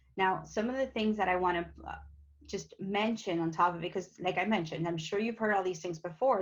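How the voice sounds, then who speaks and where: A woman at medium pitch talks at a fairly quick pace with fairly even intonation. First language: Spanish. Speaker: business analysis association manager. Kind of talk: webinar presentation.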